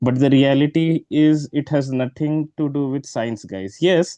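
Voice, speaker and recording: In an Indian accent, a man with a medium-pitched, dark, mellow voice and fairly even intonation is heard in a dry, close sound with no echo over a quiet background. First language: Hindi. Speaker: exam prep tutor. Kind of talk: online class orientation. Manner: hesitant, many filler words.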